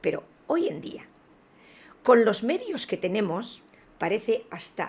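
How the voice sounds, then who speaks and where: A woman talks at a very slow pace. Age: 60s. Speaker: spiritual video blogger. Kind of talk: video monologue. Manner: hesitant with fillers.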